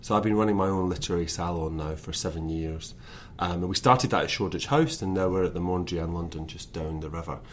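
A man speaks in a Scottish accent with a very deep, low pitch, and the room echo is audible. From west of Scotland, Lanarkshire. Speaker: author. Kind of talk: interview.

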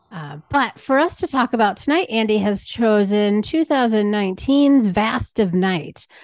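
A woman's fairly high, lively voice, an ordinary speaking voice, at a fairly slow pace with hardly any pauses. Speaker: podcast host. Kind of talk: casual interview chat.

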